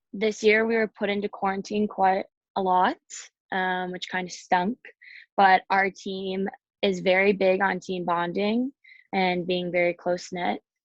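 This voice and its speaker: Using a medium pitch and an American accent, a woman speaks fairly slowly in a monotone, flat way with long, frequent pauses, her sound dry and close with no echo against a quiet background. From Chicago, US Midwest. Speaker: college hockey player. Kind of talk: interview. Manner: loud.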